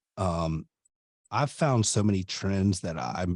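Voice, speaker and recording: Energetic in tone, a man speaks at a fairly low pitch with ordinary pitch variation. The sound is dry and close with no echo. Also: very clean recording, silent background. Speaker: garage door business owner and podcast host. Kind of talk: podcast industry update talk.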